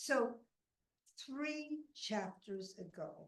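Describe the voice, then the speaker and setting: Her voice is somewhat breathy, and this woman's pitch swings very widely. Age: 70s. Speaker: storyteller, former teacher. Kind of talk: storytelling.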